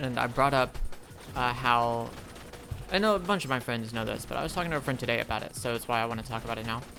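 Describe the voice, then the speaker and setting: With music in the background, a man speaks at a medium pitch and ordinary pitch variation. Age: 20s. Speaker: gaming streamer / video creator. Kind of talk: casual monologue while gaming. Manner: halting, many pauses.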